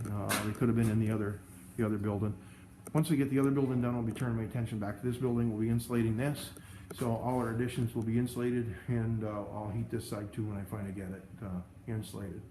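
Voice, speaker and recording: Talking at a very fast pace, a man sounds somewhat breathy with a dark, mellow tone. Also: medium pitch for a man, fairly even intonation. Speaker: snow plowing business owner. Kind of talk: casual vlog walkthrough. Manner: halting, stammering.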